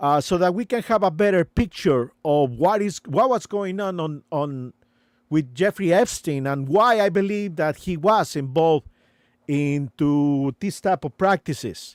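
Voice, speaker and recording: With a non-native accent, a man talks at a fairly slow pace and a high pitch with lively intonation, captured in a very clean recording with a silent background and a dry, close sound with no echo. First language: not English. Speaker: live streamer. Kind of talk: live stream commentary. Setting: live stream. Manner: halting, many fillers.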